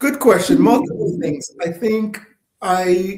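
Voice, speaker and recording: The voice belongs to a man. His pitch shifts an ordinary amount. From Jamaica. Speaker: socioeconomist and consulting firm founder. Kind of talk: casual interview chat. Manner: hesitant, many fillers.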